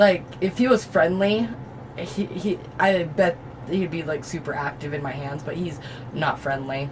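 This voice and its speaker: A woman with a very deep, low voice speaks at a fairly slow pace with lively intonation, big swings in loudness, and long, frequent pauses over noticeable background noise. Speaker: reptile keeper and video host. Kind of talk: casual tutorial. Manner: hesitant, many ums.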